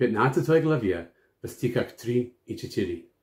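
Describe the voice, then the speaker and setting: A man with an English accent speaks with lively intonation and a dark, mellow, somewhat breathy tone. The recording is very clean, with a silent background. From United States. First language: English (speaking Russian). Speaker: pastor and missionary. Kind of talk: Bible teaching.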